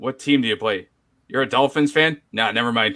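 A plain, everyday voice from a man, fairly high in pitch, fairly quick in pace, with ordinary pitch variation. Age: 30s. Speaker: sports podcaster. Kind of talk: casual chat. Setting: live stream.

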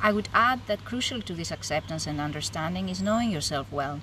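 A woman with a Greek accent at a moderate pace. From Greece. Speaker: psychologist. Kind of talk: interview. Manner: formal.

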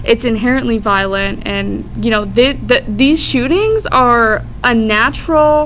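A woman with an American accent speaks at a very slow pace, with audible room echo and noticeable background noise. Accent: American, Americanized. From Florida, Tampa Bay area. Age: 20s. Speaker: community organizer. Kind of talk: casual chat.

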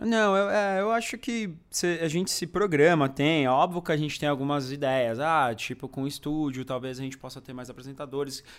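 A plain, everyday voice belongs to a man with fairly high pitch and lively intonation. He keeps a moderate pace with big swings in loudness, in a very clean recording with a silent background. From Brazil, São Bernardo do Campo (Greater São Paulo). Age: 30s. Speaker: food YouTuber. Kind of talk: casual chat.

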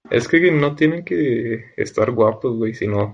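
A very slow, somewhat breathy delivery with ordinary pitch variation. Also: man. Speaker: podcast host. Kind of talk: casual chat.

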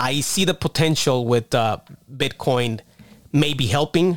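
A man with a plain, everyday voice speaks at a fairly slow pace. His pitch is fairly high with ordinary pitch variation. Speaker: podcast host. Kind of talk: casual chat.

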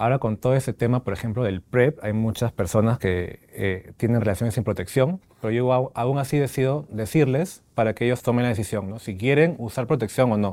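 Over a very clean recording with a silent background, a man with a medium pitch and a dark, mellow tone speaks at a fairly quick pace with hardly any pauses and ordinary pitch variation. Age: 30s. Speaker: HIV-positive patient. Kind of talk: interview testimony. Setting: studio with small audience.

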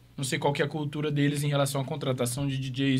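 Audible room echo surrounds a man's fairly high voice. He talks at a fairly quick pace. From Maringá, Paraná, Brazil. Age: 20s. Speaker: DJ and music producer. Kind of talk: casual interview.

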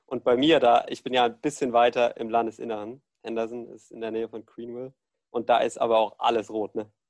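Flat, monotone intonation comes at a fairly quick pace, with big swings in loudness. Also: man, medium pitch for a man. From Germany, Ludwigshafen. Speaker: student, podcast host. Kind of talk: casual chat.

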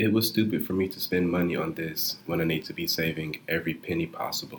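With a very deep, low pitch, a man speaks at a moderate pace with ordinary pitch variation. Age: 20s. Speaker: podcaster, college student. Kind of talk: personal confession monologue.

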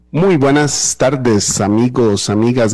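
A man speaks in a plain, everyday voice at medium pitch with ordinary pitch variation, the sound dry and close with no echo on a very clean recording over a silent background. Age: 30s. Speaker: radio host. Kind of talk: radio interview.

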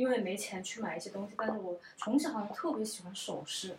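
A woman talks fairly quickly. There is noticeable background noise. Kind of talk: casual chat. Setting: at a friend's home.

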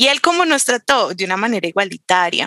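An unremarkable speaking voice from a woman, medium in pitch, at a moderate pace, with a dry, close sound and no echo. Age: 20s. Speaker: political scientist. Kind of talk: casual conversation.

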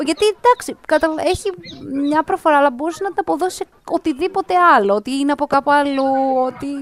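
A woman talks at a high pitch and a moderate pace, with very wide pitch swings. The sound is dry and close with no echo, though noticeable background noise is present. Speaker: podcast host. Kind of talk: casual chat.

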